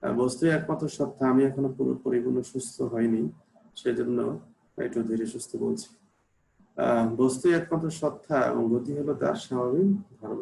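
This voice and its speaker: With a dark, mellow tone and a somewhat breathy quality, a man speaks at medium pitch with ordinary pitch variation. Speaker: university lecturer. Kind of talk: lecture.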